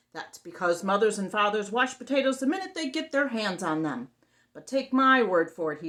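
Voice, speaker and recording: Using a put-on character voice, a woman speaks at a moderate pace and a medium pitch. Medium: read story. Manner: brash, bossy.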